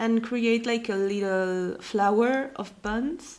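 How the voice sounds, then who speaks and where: Here a woman speaks with a Spanish accent at a very slow pace. Her pitch is fairly high, with ordinary variation. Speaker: cooking vlogger. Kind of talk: cooking tutorial. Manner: casual, some hesitations.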